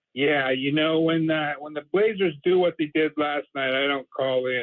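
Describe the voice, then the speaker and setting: Speaking with an American accent, a man uses a fairly high pitch. His pitch varies in an ordinary way. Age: 60s. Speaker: caller. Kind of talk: casual call-in chat. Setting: phone call. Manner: halting, repetitive.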